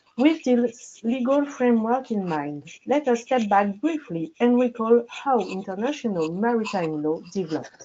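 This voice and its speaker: Very wide pitch swings and hardly any pauses. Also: woman, fairly high pitch for a woman, moderate pace. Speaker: legal researcher presenting at a webinar. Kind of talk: presentation. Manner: formal; very quiet. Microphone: mic scratching, too quiet.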